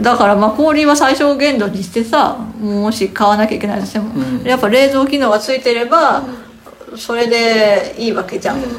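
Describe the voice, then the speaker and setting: Over noticeable background noise, a woman talks at a moderate pace in a fairly high pitch with ordinary pitch variation. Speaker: podcast host. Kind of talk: casual chat. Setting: home.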